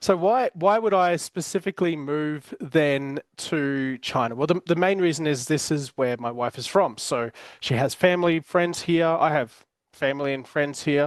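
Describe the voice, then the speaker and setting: A man with an Australian accent speaks at a moderate pace with a fairly high pitch and ordinary pitch variation, in a dry, close sound with no echo over a quiet background. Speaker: podcast host, business coach. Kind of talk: casual chat. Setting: home. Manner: hesitant, many fillers and repeated words.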